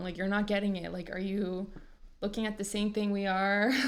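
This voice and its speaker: A woman with a Canadian accent and a medium-pitched voice speaks at a moderate pace with fairly even intonation, with audible room echo. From Canada. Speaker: podcast co-host. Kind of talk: casual chat.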